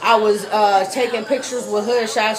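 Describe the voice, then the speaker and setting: Speech in an American accent comes at a fairly slow pace in a flat monotone. Audible room echo and noticeable background noise surround it. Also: woman. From Pittsburgh, Pennsylvania. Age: 20s. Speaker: radio host. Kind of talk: interview. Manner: loud.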